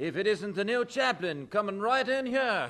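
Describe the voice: In a put-on character voice, a man speaks at a moderate pace with a high pitch, a bright, sharp tone and big pitch swings.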